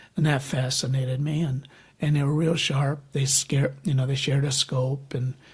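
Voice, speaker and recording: Somewhat breathy and fairly high-pitched, a man speaks at a moderate pace with monotone, flat intonation and very even loudness. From US Midwest, Michigan. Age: 70s. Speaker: birder. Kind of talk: casual interview chat. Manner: halting, many fillers.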